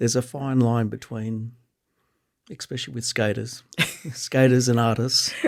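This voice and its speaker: A man with an Australian accent speaks at a moderate pace in a medium pitch, his intonation monotone and flat, broken by long, frequent pauses. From Canberra, Australia. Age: 50s. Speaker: skate photographer. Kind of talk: casual chat.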